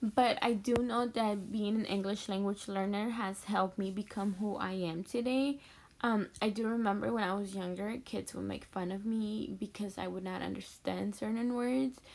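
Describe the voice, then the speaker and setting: Speaking with a Mexican accent, a woman keeps a moderate pace and medium pitch, her intonation fairly even and hardly any pauses in between. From Mexico City, then Texas (Houston). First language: Spanish. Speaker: education student, future teacher. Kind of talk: personal introduction video. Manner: hesitant, many fillers.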